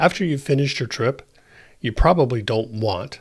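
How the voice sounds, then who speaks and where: A man speaks in a somewhat breathy voice. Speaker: tech tutorial creator. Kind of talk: tutorial narration.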